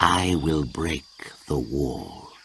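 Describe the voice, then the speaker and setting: A man growls in a put-on character voice with a very deep, low pitch. Clear background noise sits behind him. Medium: read story. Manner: slow, hissing.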